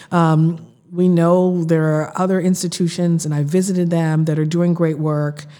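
A woman's dark, mellow, fairly low voice with an American accent, flat and monotone at a moderate pace, plus audible room echo. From Boston, Massachusetts (Roxbury). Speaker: city councilor. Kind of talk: interview conversation.

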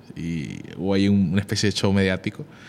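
A man talks at a fairly quick pace. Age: 20s. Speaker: constitutional lawyer. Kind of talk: interview.

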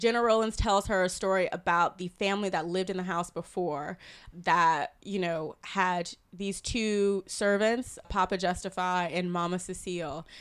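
A woman with an American accent has an ordinary speaking voice at medium pitch, with fairly even intonation. She speaks at a moderate pace on a very clean recording with a silent background. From US South, South Carolina. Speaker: film critic. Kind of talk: casual film discussion. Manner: laughs often.

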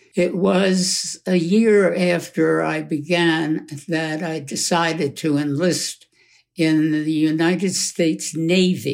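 Fairly high in pitch, a man speaks very slowly with an American accent and fairly even intonation. The recording is very clean, with a silent background. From Brooklyn, New York, and rural Pennsylvania. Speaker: war veteran and retired professor. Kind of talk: interview testimony.

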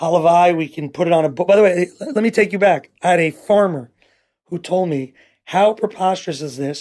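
A man's high voice in a New York accent, fairly quick, with ordinary pitch variation. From New York City. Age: 40s. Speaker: nonprofit founder. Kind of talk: interview.

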